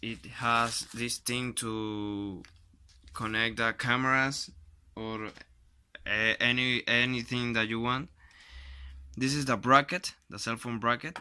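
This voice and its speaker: With a Spanish accent, a man speaks very slowly in a medium pitch, his tone bright and sharp and his intonation fairly even. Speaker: YouTuber doing product unboxing. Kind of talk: unboxing video, casual talk to camera. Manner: halting, with self-corrections.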